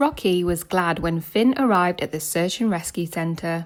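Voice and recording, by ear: A woman talks at a fairly slow pace with a fairly low pitch. Her pitch varies in an ordinary way.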